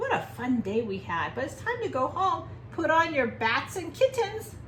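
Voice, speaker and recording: A woman performs a put-on character voice at a moderate pace. Clear background noise runs behind her. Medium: read story. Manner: cheerful, playful.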